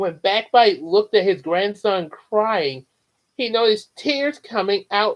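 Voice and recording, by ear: Over a quiet background, someone reads aloud in a natural voice with lively intonation.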